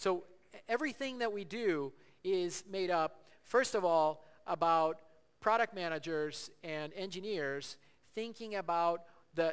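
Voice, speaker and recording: At a fairly slow pace, a man speaks with a high pitch and ordinary pitch variation. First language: Portuguese. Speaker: tech company executive. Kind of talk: conference presentation. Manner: halting, many fillers and repeats.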